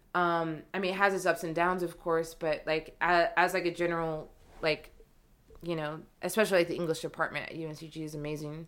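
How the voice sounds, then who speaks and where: Monotone, flat intonation at a fairly quick pace, with big swings in loudness. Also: woman. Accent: American. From North Carolina. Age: 20s. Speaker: editor and copywriter. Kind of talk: casual interview.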